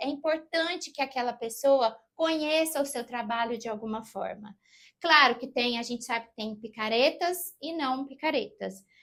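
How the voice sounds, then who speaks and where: A woman's high-pitched voice with ordinary pitch variation at a moderate pace, on a very clean recording with a silent background. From southern Minas Gerais, Brazil (Passos). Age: 40s. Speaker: actress and voice actor. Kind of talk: interview.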